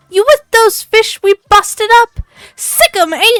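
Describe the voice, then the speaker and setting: A female-sounding, squeaky put-on character voice pitched extremely high delivers its lines at a fairly slow pace. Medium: read story. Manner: loud, brash slang.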